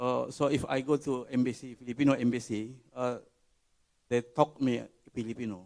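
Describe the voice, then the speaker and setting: Speaking with an Indonesian accent, a man keeps fairly even intonation at a moderate pace. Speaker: conference audience member asking a question. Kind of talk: Q&A question. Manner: halting.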